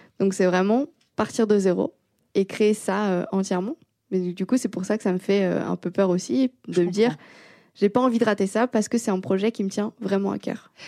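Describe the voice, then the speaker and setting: At a moderate pace, a woman speaks with a medium pitch and a dark, mellow tone. The recording is very clean and dry, close-miked with no echo against a silent background. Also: ordinary pitch variation. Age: 20s. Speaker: engineering student and developer. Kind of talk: casual interview.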